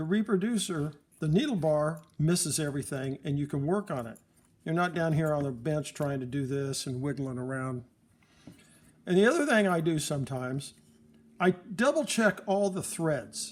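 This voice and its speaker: A man talks at a moderate pace and fairly high pitch with ordinary pitch variation. It is an ordinary speaking voice. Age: 60s. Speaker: phonograph repairer. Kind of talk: tutorial. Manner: casual, rambling.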